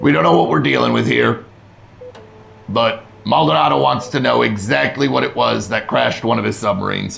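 In a put-on character voice, a man talks at a fairly quick pace with a raspy, very deep, low tone and very wide pitch swings. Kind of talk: military. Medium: actual play. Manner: curt, commanding.

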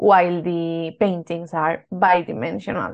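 A woman talks at a medium pitch in a Spanish accent. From Spain. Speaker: art historian. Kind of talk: interview.

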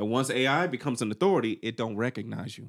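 A man with a Southern US accent talks at a very fast pace in an animated tone, with ordinary pitch variation. Very clean recording, silent background. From US South. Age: 40s. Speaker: podcast co-host. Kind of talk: casual chat.

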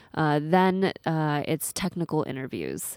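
A woman in an American accent speaks at a fairly slow pace, her pitch very deep and low with ordinary variation. The recording is very clean, with a silent background. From US Pacific Northwest (Seattle). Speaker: coding school co-founder. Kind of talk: casual interview.

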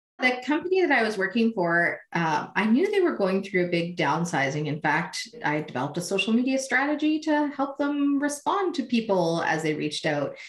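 A woman's fairly high voice with very wide pitch swings, a moderate pace, hardly any pauses, and noticeable background noise. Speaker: social media consultant. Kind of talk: interview.

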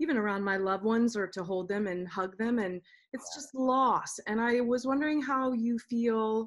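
A woman's fairly high voice, an ordinary speaking voice with ordinary pitch variation, over a quiet background. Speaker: opera singer and podcast host. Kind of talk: casual chat.

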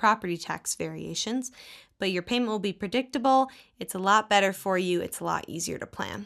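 A woman with an American accent speaks at a medium pitch with ordinary pitch variation, in a very clean recording with a silent background. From US South, Texas. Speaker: podcast co-host. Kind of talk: casual chat.

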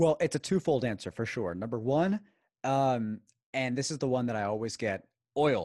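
With an American accent, a man speaks at a moderate pace in a medium pitch and lively intonation, the sound dry and close with no echo and the background quiet. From Houston, Texas. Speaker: podcaster on Venezuelan affairs. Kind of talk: interview.

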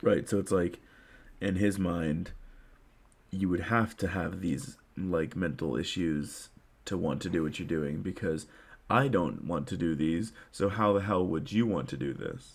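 Gravelly and very deep with a low pitch, a man talks at a fairly slow pace. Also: ordinary pitch variation. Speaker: podcast co-host. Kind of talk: casual chat.

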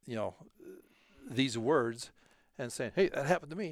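On a very clean recording with a silent background, a man speaks at a medium pitch with lively intonation. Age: 60s. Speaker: heart surgery patient sharing faith. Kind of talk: personal testimony. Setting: studio. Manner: halting.

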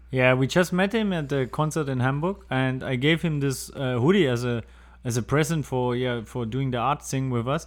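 A man with a German accent at a medium pitch and moderate pace, ordinary pitch variation, on a very clean recording with a silent background. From Germany. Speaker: water charity founder. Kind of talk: interview. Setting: studio.

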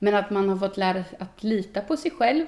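In a normal speaking voice, a woman talks at medium pitch and a moderate pace with lively intonation. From Sweden, Östergötland (Boxholm). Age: 20s. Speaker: youth politician. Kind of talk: casual interview. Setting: on location.

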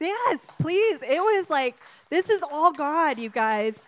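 Loud and high-pitched, a woman speaks at a very slow pace. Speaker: missionary. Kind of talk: sermon. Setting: church.

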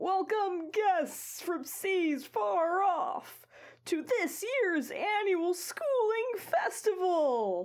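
A woman's put-on character voice, extremely high in pitch, at a very slow pace. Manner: proud, ceremonial welcome.

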